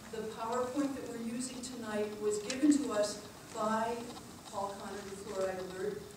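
A woman's voice with fairly even intonation, strong room echo and noticeable background noise. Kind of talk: public talk to audience. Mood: warm, appreciative. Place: meeting room. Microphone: camera far.

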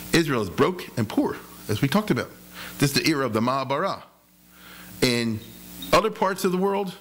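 A man's voice with vocal fry and very wide pitch swings, at a fairly quick pace over light background noise. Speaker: lecturer. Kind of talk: lecture. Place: hall. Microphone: podium.

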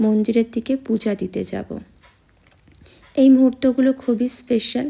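A woman speaks at a fairly slow pace with a fairly high pitch and vocal fry. Her tone is dark and mellow, her intonation fairly even.

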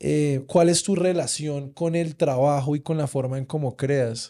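A man's dark, mellow, fairly high voice with ordinary pitch variation, at a moderate pace against a quiet background. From Colombia. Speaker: podcast host. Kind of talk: casual interview. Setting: studio. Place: studio. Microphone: studio mic.

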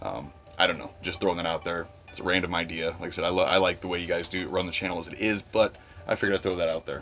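Over faint music in the background, a man with a very deep, low pitch speaks at a very fast pace in a monotone, flat intonation. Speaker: horror fan vlogger. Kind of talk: casual vlog chat. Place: home room. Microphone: phone near.

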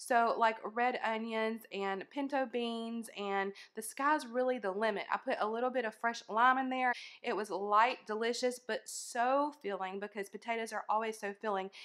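A woman talks at a moderate pace with fairly even intonation over a quiet background. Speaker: weight loss vlogger. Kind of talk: casual vlog chat. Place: kitchen. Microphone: phone near.

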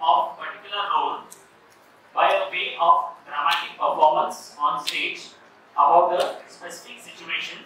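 A man at a moderate pace, loudness swinging widely, strong room echo and light background noise. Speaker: medical educator presenting. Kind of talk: lecture. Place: hall.

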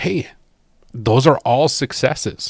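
A man at a fairly slow pace with ordinary pitch variation, in a dry, close, echo-free, very clean recording with a silent background. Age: 40s. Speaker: fishing podcaster. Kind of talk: solo podcast monologue. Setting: home, at a table.

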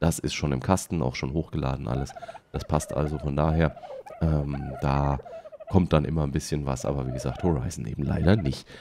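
A man talks at a fairly quick pace. Noticeable noise runs in the background. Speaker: let's play streamer. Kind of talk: casual talk to camera.

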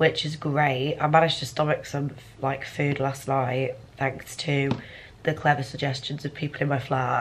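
Light background noise sits behind a woman's voice. She speaks at a very deep, low pitch with monotone, flat intonation. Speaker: university student vlogger. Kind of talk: casual vlog chat. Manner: weak, congested, sick voice from bed. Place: home room. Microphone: phone near.

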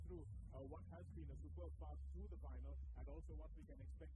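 A man talks at a fairly quick pace with ordinary pitch variation. The sound is dry with no echo, and loud background noise runs underneath. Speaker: presenter. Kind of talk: pre-match commentary. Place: stadium. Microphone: handheld.

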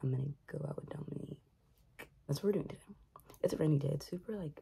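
A woman talks with a very deep, low pitch and a dark, mellow tone. Her voice is somewhat breathy. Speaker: vlogger. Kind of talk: casual vlog chat. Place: home room. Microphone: phone near.

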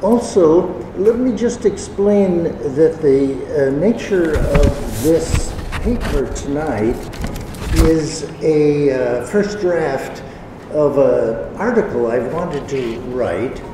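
A man speaks at a very slow pace. Noticeable background noise and audible room echo are present. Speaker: visiting lecturer. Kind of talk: lecture. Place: hall. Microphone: podium.

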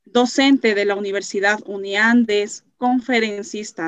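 A woman with a fairly high pitch at a very slow pace, against a quiet background. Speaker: moderator. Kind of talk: formal intro and closing. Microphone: video call.

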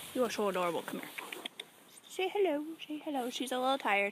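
High female voice with very wide pitch swings at a fairly quick pace, dry with no echo, amid noticeable background noise. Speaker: vlogger. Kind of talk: casual vlog chat. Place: garden. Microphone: phone near.

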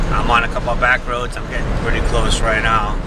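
A man speaks over loud background noise, with a dry sound and no echo. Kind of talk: casual vlog chat. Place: car. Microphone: phone near.

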